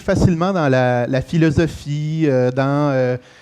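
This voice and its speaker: This voice, in a Quebec accent, shows ordinary pitch variation. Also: man. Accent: Québécois French. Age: 40s. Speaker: real estate franchise executive. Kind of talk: conference talk. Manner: halting with many fillers.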